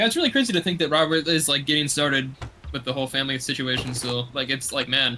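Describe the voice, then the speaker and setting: Noticeable background noise under a man's very fast speech, medium in pitch and with ordinary pitch variation. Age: 20s. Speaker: streamer. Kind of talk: casual chat. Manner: halting.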